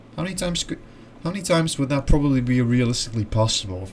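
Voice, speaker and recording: Here a man speaks with a Dutch accent. His pitch swings very widely. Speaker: video essayist. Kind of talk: casual explainer monologue. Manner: halting.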